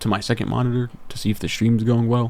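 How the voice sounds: Someone reads in a natural voice.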